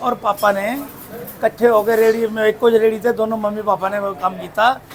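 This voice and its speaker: A man with a Punjabi accent speaks in a high pitch with fairly even intonation, with noticeable background noise behind him. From Punjab region, India (Chandigarh, born in Ambala). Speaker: dhaba owner. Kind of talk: casual interview.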